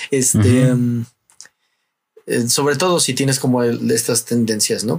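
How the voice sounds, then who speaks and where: Speaking with a Mexican accent, a man talks at a fairly slow pace in a medium pitch. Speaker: podcast host. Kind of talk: casual chat.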